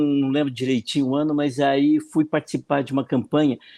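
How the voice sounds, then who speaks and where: Recorded very cleanly with a silent background and a dry, close sound with no echo, a man speaks at a moderate pace in a fairly high pitch with a dark, mellow tone. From Brazil, northern Paraná (Arapongas). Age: 60s. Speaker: political marketing consultant. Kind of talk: interview, casual chat.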